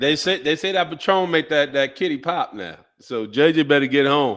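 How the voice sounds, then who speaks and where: Ordinary pitch variation marks a man's fairly high voice as he speaks at a moderate pace. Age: 40s. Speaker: podcast co-host, former pro football player. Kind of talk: casual chat. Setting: live stream video call. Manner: stumbling over words.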